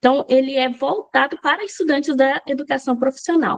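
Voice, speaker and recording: A woman's high-pitched voice at a moderate pace, with a dry, close sound and no echo. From Brazil, Goiás. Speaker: language teacher. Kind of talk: lecture.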